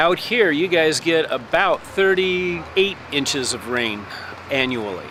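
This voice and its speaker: With noticeable background noise behind him, a man with a Midwestern accent speaks fairly slowly, his intonation lively. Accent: Midwest. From US Midwest, Lincoln, Nebraska. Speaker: landscaper and carpenter. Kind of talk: casual interview.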